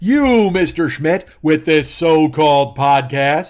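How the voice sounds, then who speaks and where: A man puts on a character voice at a fairly high pitch. He talks at a fairly slow pace. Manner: accusatory, grandiose.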